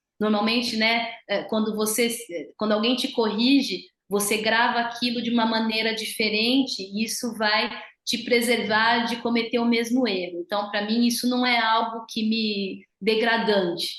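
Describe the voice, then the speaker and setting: In a room with audible echo, a woman speaks at a fairly slow pace in a fairly high pitch, her intonation monotone and flat. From Brazil. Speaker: physiotherapist. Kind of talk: interview.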